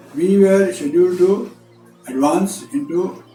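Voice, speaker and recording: A man talks with very wide pitch swings. There is music in the background. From Maharashtra, India. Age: 80s+. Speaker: retired army brigadier, war veteran. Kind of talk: interview answer. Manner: hesitant, with fillers.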